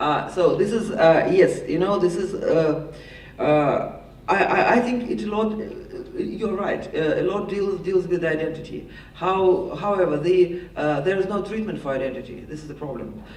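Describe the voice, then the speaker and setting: A man with a Russian accent and a high pitch speaks with ordinary pitch variation, with audible room echo and noticeable background noise. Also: moderate pace. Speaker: panelist, political expert. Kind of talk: panel discussion answer. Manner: halting, many repetitions.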